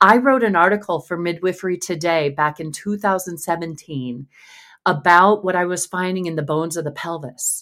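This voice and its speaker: A woman with a normal speaking voice and fairly low pitch talks at a moderate pace with ordinary pitch variation, on a very clean recording with a silent background. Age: 50s. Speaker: pelvic health physical therapist. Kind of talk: interview.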